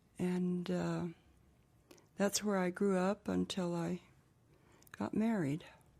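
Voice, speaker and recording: A woman with a New Mexico accent speaks at a very slow pace, her fairly low pitch carrying a dark, mellow tone and fairly even intonation. Long, frequent pauses break up her speech in a very clean recording with a silent background. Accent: New Mexico American English. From US Southwest, Gallup, New Mexico. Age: 80s+. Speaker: interviewee. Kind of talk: oral history interview.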